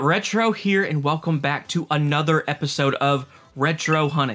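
A man talks over music playing in the background. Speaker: toy collector youtuber. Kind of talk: casual vlog chat.

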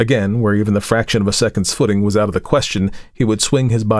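Fairly even intonation in a natural reading voice

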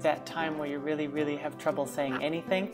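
A woman speaks at a fairly quick pace. Her pitch is very deep and low, with clear music playing behind her. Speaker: language learner. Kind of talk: student testimonial. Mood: warm, enthusiastic. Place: home room. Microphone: earbuds.

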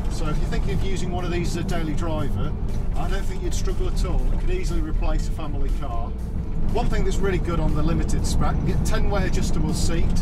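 A man talks at a very fast pace. Clear music plays in the background. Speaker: vehicle reviewer. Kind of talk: review commentary. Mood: upbeat, enthusiastic. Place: car.

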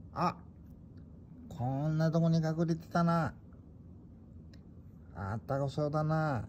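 With an Ibaraki accent, a man speaks at a very slow pace with long, frequent pauses, his fairly high pitch showing ordinary variation over light background noise. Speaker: pet owner. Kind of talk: casual vlog talk while searching for a pet cat. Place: home room. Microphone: phone near.

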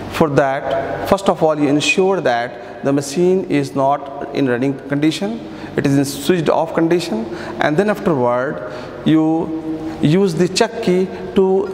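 In a room with audible echo and light background noise, a man speaks fairly slowly, with ordinary pitch variation and very even loudness. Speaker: workshop instructor. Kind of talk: tutorial. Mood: calm, instructive. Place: workshop.

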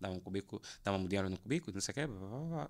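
A man's very fast speech, bright and sharp in tone, with lively intonation over a quiet background. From Angola, Luanda; Angola. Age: 30s. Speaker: photographer and graphic designer; podcast guest. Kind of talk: casual chat. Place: studio. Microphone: studio mic.

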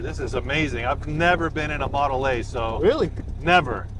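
Enthusiastic in tone, a man speaks at a fairly quick pace, the sound dry with no echo yet with noticeable background noise. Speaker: car channel vlogger. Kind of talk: vlog narration. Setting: in a car. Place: car. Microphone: lapel.

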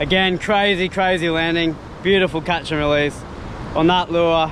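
Against clear background noise, a man with a fairly high pitch speaks at a moderate pace with little pitch movement.

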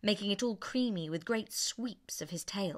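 The reading voice is unforced, and its pitch varies in an ordinary way.

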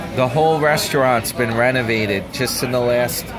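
Music plays clearly in the background. A man speaks at a very slow pace. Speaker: travel vlogger. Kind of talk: casual vlog chat. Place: cafe. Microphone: phone near.

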